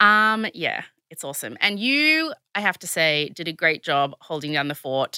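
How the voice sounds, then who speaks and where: Using lively intonation and big swings in loudness, a woman with a fairly low-pitched, bright, sharp tone talks at a moderate pace in an Australian accent, with a dry, close sound and no echo. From Australia, Sydney. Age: 30s. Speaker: podcast co-host. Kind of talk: casual chat. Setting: studio.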